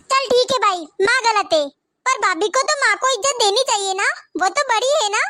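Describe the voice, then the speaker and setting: Doing a put-on character voice, a woman speaks at an extremely high pitch and a fairly quick pace, her loudness very even and her intonation lively. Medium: comedy sketch.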